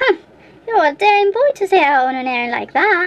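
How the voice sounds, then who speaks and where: A woman puts on a squeaky character voice at an extremely high pitch, with very wide pitch swings. She speaks at a fairly quick pace. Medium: read story. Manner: grunting, gruff.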